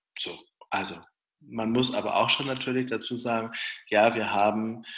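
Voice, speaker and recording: A man speaks with a bright, sharp tone at a moderate pace. His intonation is fairly even. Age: 40s. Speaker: pastor. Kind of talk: interview answers. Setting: video call.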